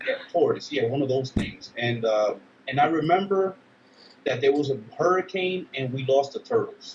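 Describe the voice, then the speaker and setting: With a New York accent, a man talks at a fairly quick pace with lively intonation over noticeable background noise. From Dominican Republic and Brooklyn, New York. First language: Spanish. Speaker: army veteran. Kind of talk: interview. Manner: casual, halting with fillers.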